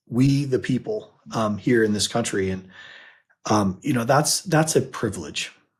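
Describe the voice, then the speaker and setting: A somewhat breathy man with an American accent and lively intonation, on a very clean recording with a silent background. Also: medium pitch for a man, moderate pace. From US, Utah. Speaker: financial advisor and podcast co-host. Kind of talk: casual chat.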